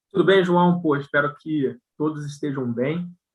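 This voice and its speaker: With a strong Rio de Janeiro accent, a man speaks at a moderate pace and with fairly even intonation. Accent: strong carioca accent with hissing s. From Brazil, Rio de Janeiro. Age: 40s. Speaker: company CEO. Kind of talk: live video interview chat. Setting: live stream.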